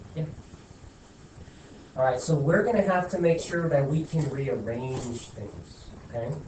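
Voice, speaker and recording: Audible room echo surrounds a man whose fairly high voice has lively intonation, broken by long, frequent pauses. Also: fairly slow pace. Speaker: high school math teacher. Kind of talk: classroom lecture. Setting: classroom with students. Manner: casual, conversational; slow.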